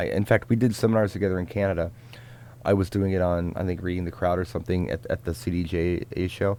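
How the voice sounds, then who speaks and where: A man's very deep, low-pitched voice with a dark, mellow tone at a very fast pace. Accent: Midwestern US. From US Midwest, Richmond, Indiana. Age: 40s. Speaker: DJ. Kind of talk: live Q&A stream. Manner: casual, halting.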